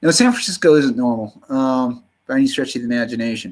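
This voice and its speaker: Lively intonation marks the speech of a man in an American accent. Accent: slight Southern US drawl creeps in. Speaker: livestreamer. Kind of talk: casual live stream monologue. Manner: halting.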